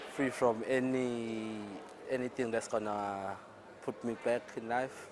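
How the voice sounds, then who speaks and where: Over noticeable background noise, a man speaks at a very slow pace. His intonation is monotone and flat. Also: medium pitch for a man. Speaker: young entrepreneur interviewed in street vox pop. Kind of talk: vox pop interview.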